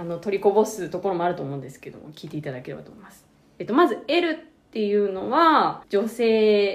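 A woman talks at a fairly quick pace with very wide pitch swings. Her loudness swings widely too. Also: medium pitch for a woman. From Japan. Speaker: podcast co-host. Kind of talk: explanatory casual chat.

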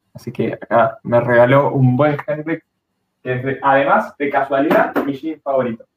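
At a moderate pace, a man with a fairly high pitch talks in a normal speaking voice with ordinary pitch variation. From Argentina, Bariloche (Patagonia). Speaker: car YouTuber. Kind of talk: casual live-stream chat. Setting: home, live stream.

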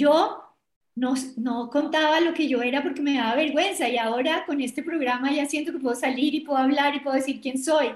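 Speaking in a Bogotá accent, a woman uses a high pitch and fairly even intonation. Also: fairly quick pace. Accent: Bogotá Colombian Spanish. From Colombia, Bogotá. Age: 60s. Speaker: business executive and women's leadership advocate. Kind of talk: interview.

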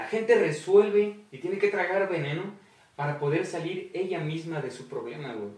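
In a Mexican accent, a man with a high voice speaks at a moderate pace with ordinary pitch variation and big swings in loudness, against noticeable background noise and audible room echo. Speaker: podcast host. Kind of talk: casual chat.

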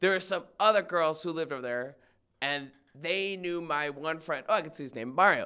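On a very clean recording with a silent background, a man speaks at a fairly quick pace. His fairly high voice has a bright, sharp tone and ordinary pitch variation. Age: 20s. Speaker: podcast guest. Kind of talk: casual chat.

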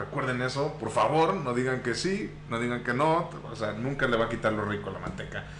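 Amid noticeable background noise and audible room echo, a man with a medium pitch and ordinary pitch variation talks at a fairly quick pace with hardly any pauses. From Mexico, Tampico, Tamaulipas. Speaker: podcast host. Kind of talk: casual chat. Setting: live stream.

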